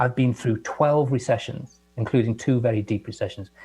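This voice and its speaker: A man's medium-pitched voice with an English accent, dark and mellow in tone, somewhat breathy, with ordinary pitch variation. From England. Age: 60s. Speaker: guest scientist. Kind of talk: casual chat.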